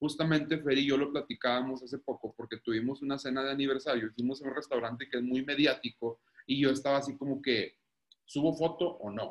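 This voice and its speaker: A man talks fairly quickly at a fairly high pitch. His is an ordinary speaking voice with fairly even intonation. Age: 30s. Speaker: guest, married father. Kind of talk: casual chat.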